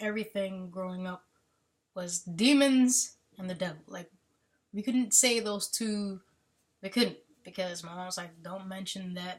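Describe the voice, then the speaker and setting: A woman with a medium pitch and a somewhat breathy voice speaks with ordinary pitch variation, big swings in loudness, and long, frequent pauses. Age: 30s. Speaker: army veteran. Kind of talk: casual chat. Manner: halting.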